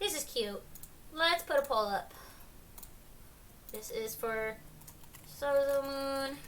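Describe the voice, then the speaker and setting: A woman's high-pitched voice with lively intonation at a very slow pace, long, frequent pauses and audible room echo. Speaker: art streamer judging art challenge. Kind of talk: live stream art critique. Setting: live stream with chat. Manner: hesitant, many ums.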